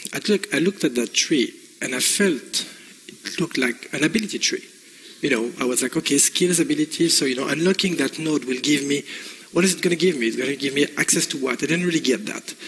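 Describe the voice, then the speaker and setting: A man with a French accent and fairly high pitch at a very fast pace, with ordinary pitch variation and noticeable background noise. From France. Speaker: game industry executive. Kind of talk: conference presentation. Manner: halting, many fillers.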